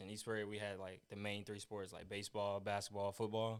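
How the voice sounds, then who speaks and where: Using a normal speaking voice, a man with an American accent talks at a fairly low pitch and a fairly quick pace with fairly even intonation. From US Midwest (southeast Missouri). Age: 20s. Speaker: college football player. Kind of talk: interview. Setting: podcast.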